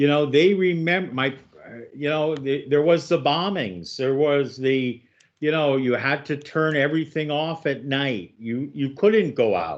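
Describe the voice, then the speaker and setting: A man speaks in a plain, everyday voice at a fairly high pitch with ordinary pitch variation. His pace is fairly slow, with hardly any pauses. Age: 60s. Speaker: radio host. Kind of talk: radio interview.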